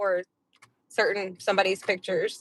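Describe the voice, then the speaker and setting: A woman talks at a moderate pace in a dry, close sound with no echo. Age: 30s. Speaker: podcast co-host. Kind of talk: casual chat.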